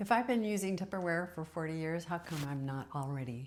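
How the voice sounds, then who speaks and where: This woman has a plain, everyday voice, fairly low in pitch, with lively intonation and a moderate pace. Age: 60s. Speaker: decluttering vlogger. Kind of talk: casual vlog monologue. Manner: musing, thinking aloud with pauses.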